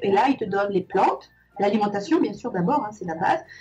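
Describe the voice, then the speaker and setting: Music plays in the background as a woman speaks. Her intonation is lively and her pace moderate. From Madagascar. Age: 60s. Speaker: aromatherapy course student. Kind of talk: testimony interview. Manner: halting.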